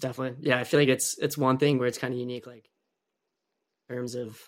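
Here a man is speaking. His pitch is medium. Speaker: podcast host, former college soccer player. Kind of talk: casual interview chat.

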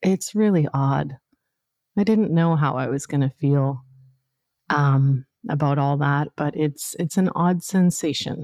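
A dark, mellow and warm tone with a Canadian accent. The sound is dry and close, with no echo. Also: woman, very deep, low pitch for a woman, ordinary pitch variation, fairly slow pace. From northern Canada. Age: 50s. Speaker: podcast host and coach. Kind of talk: solo monologue, personal storytelling. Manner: warm, conversational with frequent laughs.

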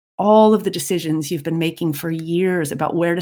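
With a normal speaking voice, a woman talks at a fairly low pitch and ordinary pitch variation. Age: 50s. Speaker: podcast host and parenting coach. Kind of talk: solo podcast monologue.

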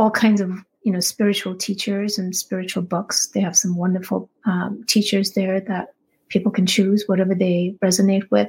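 This woman's somewhat breathy voice sits at a medium pitch. Her intonation is monotone and flat. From India. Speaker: spiritual teacher. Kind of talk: interview.

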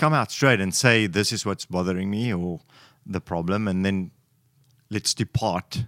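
A man with an African accent speaks at a fairly low pitch with ordinary pitch variation. The recording is very clean, with a silent background. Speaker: guest giving a man's perspective. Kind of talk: casual chat.

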